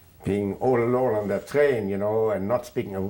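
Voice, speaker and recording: A man with a German accent, fairly low in pitch, with a dark, mellow tone and ordinary pitch variation, on a very clean recording with a silent background. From Germany, Königsberg. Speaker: Holocaust refugee recounting life story. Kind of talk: oral history interview. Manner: halting, many fillers.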